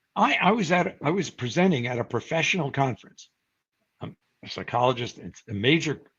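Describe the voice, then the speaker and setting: A man's fairly high-pitched, somewhat breathy voice at a very fast pace. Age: 70s. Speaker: psychology professor and researcher. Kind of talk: interview. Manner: conversational with fillers.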